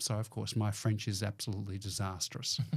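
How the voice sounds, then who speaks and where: In an Australian accent, a man talks at a fairly quick pace. His voice is fairly low-pitched, with a dark, mellow tone. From Melbourne, Australia. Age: 60s. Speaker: business owner. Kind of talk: casual chat. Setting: studio.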